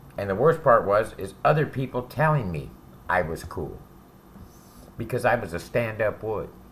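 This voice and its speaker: With long, frequent pauses, a man speaks in a somewhat breathy voice at medium pitch and with lively intonation. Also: moderate pace. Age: 60s. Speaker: ex-convict giving advice to youth. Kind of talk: direct-to-camera monologue. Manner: casual, profane.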